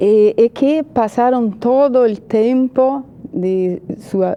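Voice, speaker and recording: Against noticeable background noise, a woman speaks at a very slow pace. Her voice is fairly high in pitch with lively intonation. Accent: Portuguese. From Brazil. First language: Portuguese (speaking Spanish). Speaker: journalist and political analyst. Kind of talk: TV interview. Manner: hesitant, many fillers.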